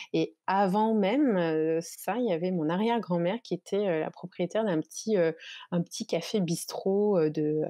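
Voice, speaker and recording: A woman talks at a fairly slow pace. Her pitch is fairly low, with ordinary variation. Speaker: shop owner and entrepreneur. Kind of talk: casual interview.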